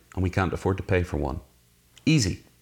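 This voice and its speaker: A man with a Northern Irish accent speaks at a fairly quick pace in a very clean recording with a silent background. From Northern Ireland, Belfast. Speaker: author. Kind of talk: interview. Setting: in person, same room.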